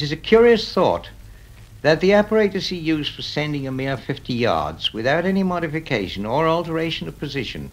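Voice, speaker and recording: A man talks at a fairly quick pace with a fairly high pitch. His voice swings very widely in pitch and has vocal fry. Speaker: radio engineer. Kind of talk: radio documentary narration.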